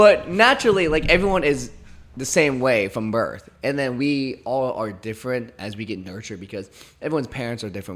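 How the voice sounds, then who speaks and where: Lively in his intonation, a man speaks at a fairly quick pace. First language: not English. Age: 20s. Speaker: podcast host. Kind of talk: casual chat.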